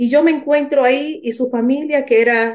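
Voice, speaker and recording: Fairly even intonation carries the words along at a moderate pace. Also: woman. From Dominican Republic. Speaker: lawyer and author. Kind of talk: testimony.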